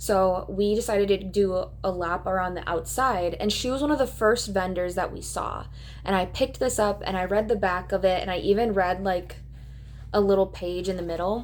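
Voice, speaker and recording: With a Minnesotan accent, a woman speaks at a medium pitch. Her pace is moderate and her intonation fairly even. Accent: Minnesota. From Minnesota, US. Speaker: booktuber. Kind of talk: casual chat. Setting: in her bed at home. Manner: casual, with frequent fillers.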